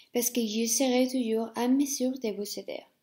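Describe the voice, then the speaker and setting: A woman with a Spanish accent, fairly high in pitch, dark and mellow in tone, her intonation monotone and flat. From Spain. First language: Spanish (speaking French). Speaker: language teacher. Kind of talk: self-introduction video. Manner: hesitant, many fillers.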